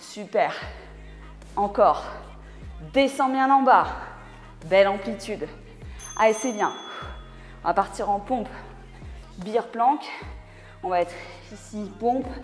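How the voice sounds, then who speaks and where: With faint music playing in the background, a woman speaks at a fairly slow pace with ordinary pitch variation and long, frequent pauses. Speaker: fitness coach. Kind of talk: workout instruction, coaching cues. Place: gym.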